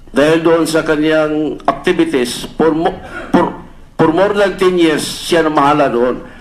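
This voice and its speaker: Fairly slow, fairly high male speech amid audible room echo and noticeable background noise. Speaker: police officer testifying at senate hearing. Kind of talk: testimony. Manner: halting.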